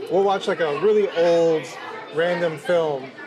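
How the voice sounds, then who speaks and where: A high-pitched man with an American accent, with audible room echo and crowd noise in the background. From New Jersey, US. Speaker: podcast host and writer. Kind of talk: casual chat. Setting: kosher restaurant.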